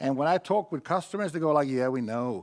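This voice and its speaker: With a Swedish accent, a man speaks at a fairly high pitch with very wide pitch swings, on a very clean recording with a silent background. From Sweden. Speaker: IT conference speaker. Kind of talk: conference talk.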